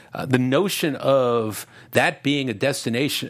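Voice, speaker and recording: A plain, everyday voice from a man, medium in pitch with ordinary pitch variation, with an American accent. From New Jersey, US. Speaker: boxing documentary filmmaker. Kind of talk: casual interview chat.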